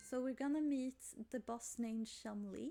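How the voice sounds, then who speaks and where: A woman's high-pitched voice, dark and mellow in tone, with a Swedish accent and fairly even intonation. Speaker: gaming youtuber. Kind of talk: game playthrough commentary.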